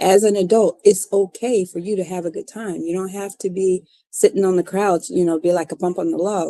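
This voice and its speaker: This woman talks at a fairly quick pace with hardly any pauses, her medium-pitched voice dark and mellow in a dry, close sound with no echo. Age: 60s. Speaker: podcast host. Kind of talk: casual monologue. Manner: animated.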